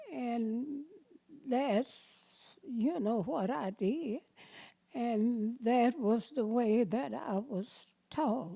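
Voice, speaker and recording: Her tone is dark and mellow, and this woman has a fairly high pitch with lively intonation. She speaks at a very slow pace with long, frequent pauses. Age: 80s+. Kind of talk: interview answer.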